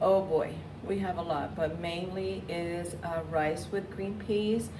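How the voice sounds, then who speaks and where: Through audible room echo and noticeable background noise, a woman with a Spanish accent speaks very slowly in a fairly low pitch with fairly even intonation. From Puerto Rico. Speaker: school staff member. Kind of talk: interview.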